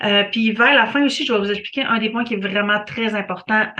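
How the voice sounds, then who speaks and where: A woman with a fairly high pitch talks while noticeable background noise carries on behind her. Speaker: real estate photographer. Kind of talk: reading an article aloud with commentary. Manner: fast; hesitant, many fillers.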